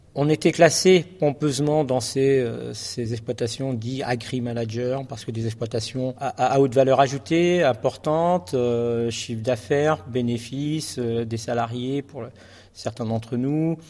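An ordinary speaking voice moves at a fairly slow pace. Its pitch variation is ordinary. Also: man, medium pitch for a man. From France, Charente. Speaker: farmer and association founder. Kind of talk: speech to an assembly.

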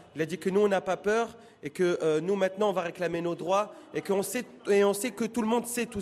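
Over noticeable background noise, a man talks at a fairly quick pace in a high voice with ordinary pitch variation. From Paris, France. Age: 30s. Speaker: engineer and guide. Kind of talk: field interview. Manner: halting.

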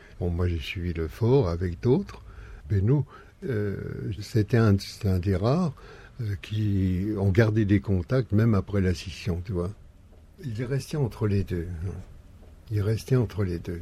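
A man with a dark, mellow tone and a fairly low pitch speaks very slowly and somewhat breathily, with ordinary pitch variation and long, frequent pauses. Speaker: former activist, bulletin publisher. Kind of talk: casual interview.

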